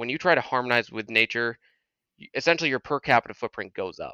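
In an American accent, a man uses a normal speaking voice at medium pitch with lively intonation. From Massachusetts, near Boston. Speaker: nuclear power engineer. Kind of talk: casual chat.

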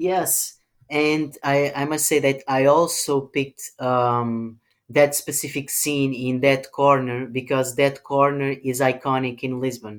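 In a very clean recording with a silent background, a man with a Portuguese accent talks at a fairly slow pace, his fairly high pitch held in monotone, flat intonation. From Portugal. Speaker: film director. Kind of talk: interview. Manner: hesitant, many ums.

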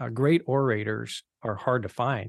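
A man with an ordinary speaking voice talks at a medium pitch with ordinary pitch variation, recorded dry and close with no echo against a quiet background. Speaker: podcast co-host. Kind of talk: podcast introduction and interview.

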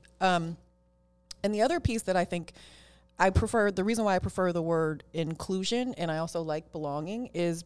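In a very clean recording with a silent background, a woman with an ordinary speaking voice and an American accent talks at a fairly quick pace, her fairly low pitch showing ordinary variation. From Oakland, California. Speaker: tech lawyer and executive. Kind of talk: interview.

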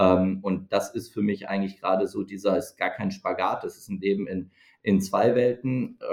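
With fairly even intonation and a fairly low pitch, a man talks at a moderate pace. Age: 40s. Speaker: startup co-founder and CEO. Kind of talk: interview. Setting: studio, in person. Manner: hesitant fillers.

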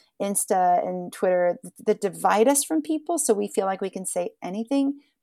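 A woman with an American accent speaks at a fairly quick pace in a medium pitch, with lively intonation and a dark, mellow tone. The recording is very clean and dry, with a silent background and a close sound with no echo. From southeastern Ohio. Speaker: singer-songwriter. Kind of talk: casual chat.

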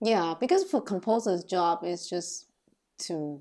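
A woman's fairly low voice with a dark, mellow tone in a Taiwanese accent, at a very slow pace, in a very clean recording with a silent background. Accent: Taiwanese Mandarin accent in English. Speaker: film composer and cellist. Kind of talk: casual chat.

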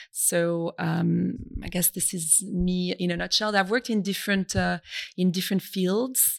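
A woman with a French accent speaks at medium pitch and a moderate pace, her intonation fairly even. The recording is very clean with a silent background. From France, Brittany. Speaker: business school institute director. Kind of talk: interview.

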